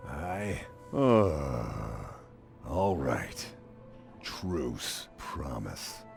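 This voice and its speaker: Over clear music in the background, a man performs a put-on character voice at a very deep, low pitch. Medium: game stream. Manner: meek, earnest.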